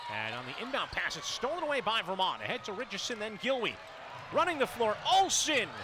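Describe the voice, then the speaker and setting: A man's extremely high, animated voice with lively intonation, dry and echo-free, over noticeable background noise. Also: fairly quick pace. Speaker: radio play-by-play announcer. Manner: fast talker, animated, rising excitement on big shots; short punchy phrases, building to a celebratory finish. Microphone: headset.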